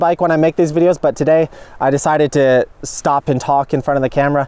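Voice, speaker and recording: There is noticeable background noise. Over it, a man talks at a very fast pace. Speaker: bike commuting YouTuber. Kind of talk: casual vlog talking to camera. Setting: outdoors by rice fields, filming on location. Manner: casual, conversational.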